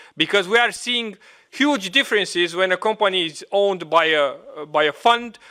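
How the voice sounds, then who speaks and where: A man talks at a moderate pace in a Romanian accent. His intonation is lively. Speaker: trade unionist. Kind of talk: meeting intervention. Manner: halting.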